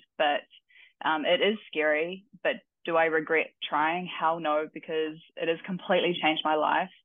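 At a fairly slow pace, a woman with a fairly low pitch speaks in monotone, flat intonation. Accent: New Zealand. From New Zealand. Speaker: weightlifting coach and athlete. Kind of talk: casual interview.

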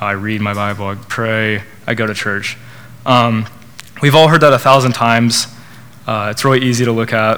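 A man with an American accent speaks at medium pitch and a moderate pace, using fairly even intonation and long, frequent pauses, with audible room echo. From Oklahoma, Norman. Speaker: student speaker at church college group. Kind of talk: testimony and sermon. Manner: hesitant, many fillers.

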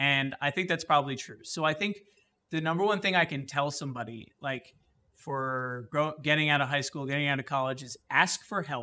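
Over a very clean recording with a silent background, a man with a New Jersey accent talks at a fairly quick pace in a fairly high pitch, his tone bright and sharp, with ordinary pitch variation. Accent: New Jersey American. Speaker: high school history teacher. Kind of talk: interview. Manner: halting, many fillers.

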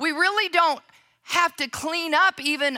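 A woman with an American accent uses a raised, projected voice at an extremely high pitch. Her tone is bright and sharp, and her pace is fairly slow. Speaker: pastor. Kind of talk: sermon. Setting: church.

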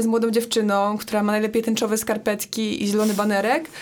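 A woman's fairly high voice at a very fast pace, with noticeable background noise. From Poland, Poznań. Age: 20s. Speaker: climate activist. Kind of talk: casual chat.

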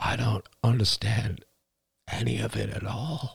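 Putting on a character voice, a man speaks at a fairly slow pace with a fairly low pitch, a husky, rough edge, vocal fry and fairly even intonation.

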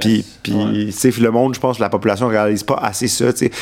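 A man's voice rises and falls in a typical way, with clear noise audible behind him. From Quebec, Montreal. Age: 20s. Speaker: political staffer. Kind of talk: casual chat.

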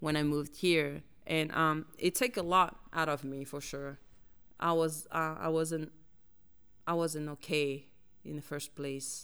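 A woman speaks with a very deep, low pitch and fairly even intonation. Her pace is fairly slow, with long, frequent pauses. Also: very clean recording, silent background. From French Polynesia (Tahiti). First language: French and Tahitian. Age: 30s. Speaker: community organizer, immigrant. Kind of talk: casual interview. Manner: hesitant, frequent laughter.

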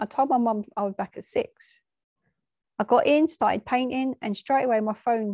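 With lively intonation and a moderate pace, a woman speaks in a dark, mellow tone. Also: dry, close sound with no echo, quiet background. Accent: English. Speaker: bereaved daughter. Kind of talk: personal reflection.

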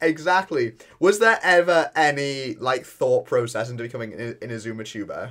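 This is an unremarkable speaking voice at a moderate pace, with lively intonation and big swings in loudness. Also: man, fairly high pitch for a man. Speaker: gaming YouTuber and podcast host. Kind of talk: casual chat.

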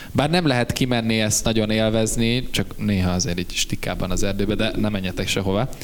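A man with a fairly low pitch talks at a fairly quick pace with hardly any pauses, very even loudness and ordinary pitch variation, amid audible room echo and noticeable background noise. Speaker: band member and podcast host. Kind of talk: casual chat.

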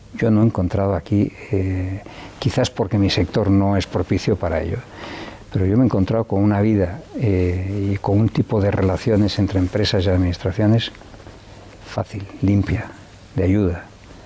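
A man with a fairly low voice speaks at a moderate pace with very even loudness and fairly even intonation, against noticeable background noise. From Spain, León (Riaño). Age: 60s. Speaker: businessman. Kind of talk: interview. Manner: halting, many fillers and repetitions.

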